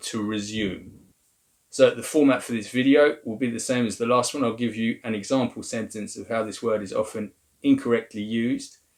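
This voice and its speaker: In an English accent, a man speaks at a moderate pace. His pitch is medium. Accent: English accent when speaking French. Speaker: language teacher. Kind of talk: tutorial.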